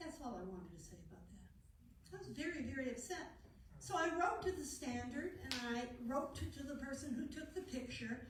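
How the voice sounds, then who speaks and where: A woman speaks at a moderate pace with a high pitch and lively intonation. Her loudness swings widely, and there is audible room echo. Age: old. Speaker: regional party director. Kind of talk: committee meeting report.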